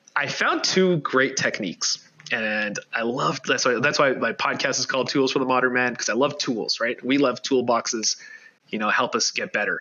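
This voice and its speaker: Here a man talks at a moderate pace and a medium pitch. His pitch variation is ordinary. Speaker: life coach. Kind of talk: podcast interview. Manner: loud.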